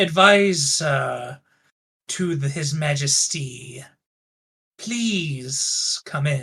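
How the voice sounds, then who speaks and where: In a put-on character voice, the speaker goes at a very slow pace with long, frequent pauses. The pitch sits low to middle. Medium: actual play. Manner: formal, measured.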